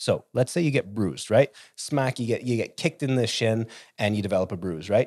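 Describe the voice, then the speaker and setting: Using a normal speaking voice, a man talks at medium pitch and a fairly quick pace with ordinary pitch variation. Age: 40s. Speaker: wellness company founder. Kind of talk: casual chat.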